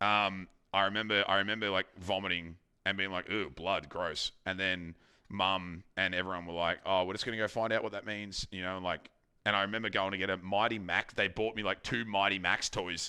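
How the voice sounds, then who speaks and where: A man with an Australian accent, fairly low in pitch with a bright, sharp tone, at a fairly quick pace with monotone, flat intonation, in a very clean recording with a silent background. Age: 30s. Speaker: streamer. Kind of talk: casual chat.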